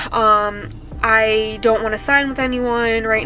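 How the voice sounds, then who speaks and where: With music in the background, a woman at a fairly high pitch speaks in a monotone, flat intonation. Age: 20s. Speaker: real estate agent. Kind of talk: vlog. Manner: casual.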